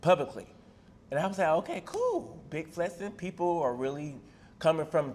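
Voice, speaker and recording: This man speaks with an Atlanta accent. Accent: Southern Atlanta twang. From US South, Atlanta, Georgia. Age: 30s. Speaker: rapper and reality TV personality. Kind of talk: casual interview.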